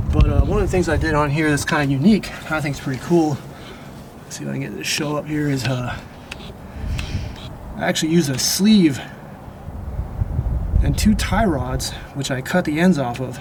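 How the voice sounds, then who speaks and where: Noticeable background noise sits behind a voice with ordinary pitch variation. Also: man, fairly high pitch for a man. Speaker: truck mechanic. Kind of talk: casual talk to camera. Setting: outdoors.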